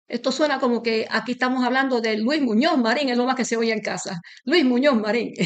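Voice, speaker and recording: A woman with a Puerto Rican accent speaks fairly quickly at a high pitch, with ordinary pitch variation. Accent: Puerto Rican Spanish, unchanged. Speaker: interviewee, association member. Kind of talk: interview.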